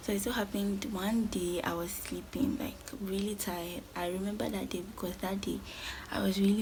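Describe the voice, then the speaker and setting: At a fairly quick pace, a woman speaks at a medium pitch with ordinary pitch variation and vocal fry. Audible room echo surrounds her voice. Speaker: lifestyle vlogger. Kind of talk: storytime vlog. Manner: fast.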